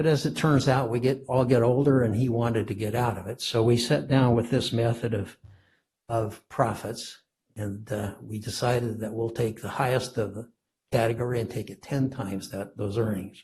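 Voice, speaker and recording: A man's somewhat breathy, medium-pitched voice at a moderate pace, with fairly even intonation. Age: 80s+. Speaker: property owner appealing tax assessment. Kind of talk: testimony at public hearing. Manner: halting, with many fillers.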